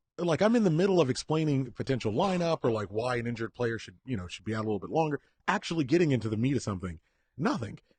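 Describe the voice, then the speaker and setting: A man talks very fast at medium pitch, somewhat breathy, with very wide pitch swings. His loudness swings a lot, and the sound is dry and close with no echo. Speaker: podcast co-host. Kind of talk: casual chat.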